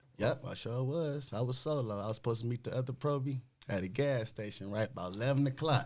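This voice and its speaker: Very fast, a man rattles along at a middle pitch. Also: ordinary pitch variation. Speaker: motorcycle club rider. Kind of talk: casual chat.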